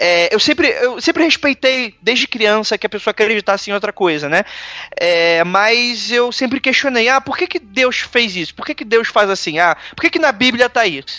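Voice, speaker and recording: A raised, projected voice with a bright, sharp tone moves at a moderate pace with lively intonation. The sound is dry and close, with no echo. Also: man, extremely high pitch for a man. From Brazil. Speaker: podcaster. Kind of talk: casual interview. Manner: hesitant, filler-heavy.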